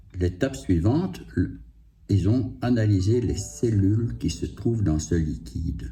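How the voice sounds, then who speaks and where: A man's very deep, low voice at a very slow pace, with very wide pitch swings, audible room echo and music in the background. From Belgium, Liège province. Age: 60s. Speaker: cancer patient vlogger. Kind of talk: personal testimony. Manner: halting, many hesitations.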